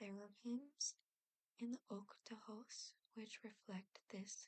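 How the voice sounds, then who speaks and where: Soft-spoken and whispering, a woman speaks at a very slow pace. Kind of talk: ASMR whisper reading of encyclopedia trivia for relaxation and sleep. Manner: whispered, soft-spoken.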